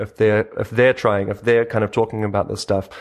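A man with a New Zealand accent talks at a fairly quick pace in a fairly low voice. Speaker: open source video maker and agency co-founder. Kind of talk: interview. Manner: halting, many fillers.

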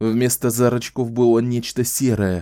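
Simply plain reading aloud

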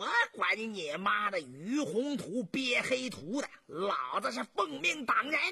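This put-on character voice has a bright, sharp tone with a husky, rough edge and vocal fry, moving slowly through big pitch swings. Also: man, high pitch for a man.

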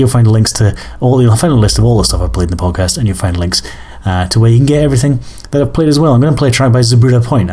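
With an Edinburgh accent, a man talks at a medium pitch with lively intonation. Noticeable background noise runs underneath. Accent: Scottish (Edinburgh). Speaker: music podcast host. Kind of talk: casual chat. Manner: hesitant with many fillers.

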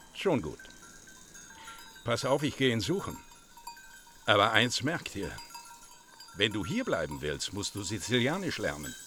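Over faint music in the background, a man in a put-on character voice speaks at a fairly low pitch and fairly slow pace, with big pitch swings, a bright, sharp tone and long, frequent pauses.

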